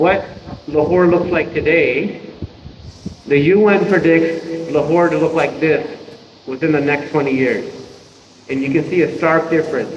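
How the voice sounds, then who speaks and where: With a fairly high pitch and fairly even intonation, a man talks at a moderate pace with long, frequent pauses, over noticeable background noise and audible room echo. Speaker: environmental expert and university lecturer. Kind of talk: seminar lecture.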